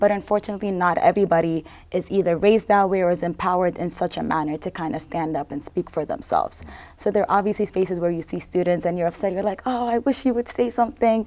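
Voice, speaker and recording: A woman rushes along at a very fast pace, her medium-pitched voice showing ordinary pitch variation. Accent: non-native. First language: not English. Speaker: student leader. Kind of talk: panel interview.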